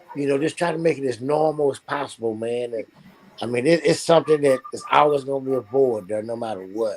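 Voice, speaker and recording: Here a man talks at a fairly quick pace with ordinary pitch variation. He has a normal speaking voice and a fairly high pitch. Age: 60s. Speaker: talk show host. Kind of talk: casual chat. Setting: live online stream.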